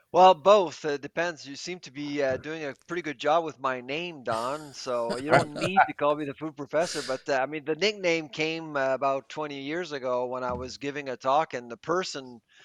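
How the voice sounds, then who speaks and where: In an unremarkable speaking voice, the speaker goes at a moderate pace with hardly any pauses, ordinary pitch variation and big swings in loudness, in a dry, close sound with no echo. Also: man, fairly high pitch for a man. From Quebec, Canada. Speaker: professor. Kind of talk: podcast interview.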